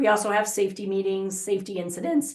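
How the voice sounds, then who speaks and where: At a fairly quick pace, a woman talks with vocal fry at a medium pitch. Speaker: software consultant. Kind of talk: software demo webinar. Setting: webinar. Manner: fast.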